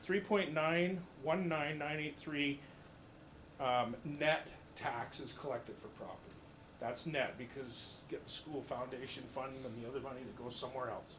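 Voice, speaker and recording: Audible room echo surrounds a man with a fairly high pitch who talks at a moderate pace with ordinary pitch variation. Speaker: resident speaking at council meeting, business owner. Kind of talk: public comment at council meeting. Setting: council chamber, full audience.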